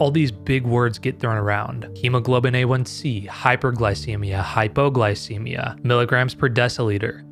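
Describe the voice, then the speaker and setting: Faint music plays behind a man who talks at a moderate pace with ordinary pitch variation, very even loudness and hardly any pauses. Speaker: health explainer host. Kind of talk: explainer narration. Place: home room. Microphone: studio mic.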